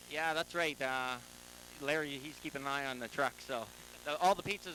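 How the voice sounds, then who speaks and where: With a plain, everyday voice, a man talks at a fairly quick pace, his pitch fairly high and his intonation fairly even. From Lethbridge, Alberta. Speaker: race car driver. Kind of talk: trackside interview.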